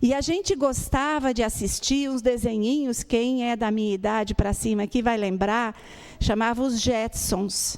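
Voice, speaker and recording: A woman's fairly high-pitched voice, an ordinary speaking voice, with ordinary pitch variation at a fairly slow pace. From Brazil, Rio Grande do Sul. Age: 60s. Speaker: spiritist lecturer. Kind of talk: lecture. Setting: spiritist center with audience.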